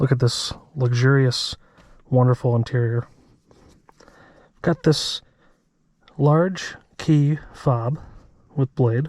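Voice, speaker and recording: A somewhat breathy man at a medium pitch speaks very slowly with long, frequent pauses, very even loudness and fairly even intonation. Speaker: car reviewer. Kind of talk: POV driving review. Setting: in a car. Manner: soft-spoken.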